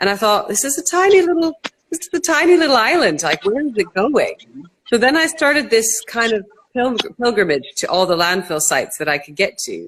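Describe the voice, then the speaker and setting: Very wide pitch swings mark this fairly quick speech in a Canadian accent. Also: woman, high pitch for a woman. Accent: Canadian, noticeable. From Canada. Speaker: entrepreneur, company co-founder. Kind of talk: interview.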